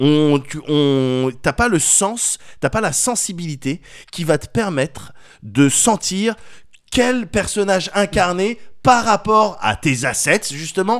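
Pitched high, a man talks at a very slow pace with very wide pitch swings. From France. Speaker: podcast co-host. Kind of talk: casual chat.

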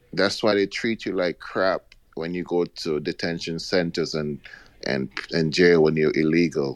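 The man talks very slowly. The sound is dry and close, with no echo. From outside the US, immigrant. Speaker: caller. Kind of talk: call-in talk radio.

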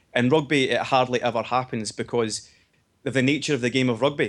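There's a man talking at a medium pitch with a Scottish accent. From Scotland. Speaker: podcast co-host.

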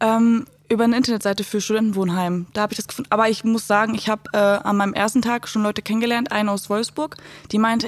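A woman with a fairly high pitch rushes along at a very fast pace, her intonation fairly even, amid noticeable background noise. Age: 20s. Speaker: social work student. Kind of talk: casual chat.

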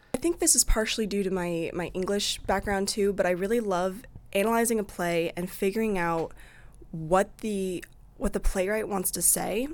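At a moderate pace, a woman with a Midwestern US accent speaks at medium pitch with ordinary pitch variation. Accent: US Midwest. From Iowa, Eldridge near Davenport. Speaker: student theater director. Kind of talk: interview.

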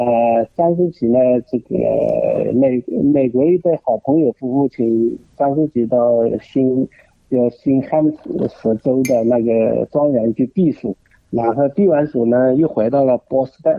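A man's medium-pitched voice at a very slow pace. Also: ordinary pitch variation. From China, Jinhua, Zhejiang. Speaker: art museum director. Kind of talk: radio interview. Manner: hesitant, many fillers.

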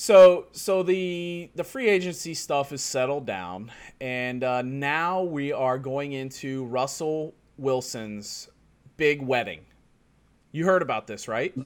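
A man talks very slowly with lively intonation. His pitch is fairly high. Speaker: podcast host. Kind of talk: casual chat. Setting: remote call with guest. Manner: casual, rambling, filler words.

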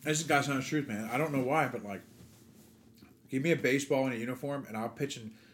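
Talking at a very fast pace, a man with an American accent uses a medium pitch and fairly even intonation, broken by long, frequent pauses. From New Jersey. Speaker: baseball coach. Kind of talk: casual chat.

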